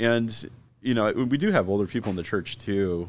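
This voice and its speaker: With an American accent, a man speaks at a moderate pace in a plain, everyday voice with ordinary pitch variation. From US Southwest, Arizona (Phoenix/Scottsdale). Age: 40s. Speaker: pastor. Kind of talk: casual chat.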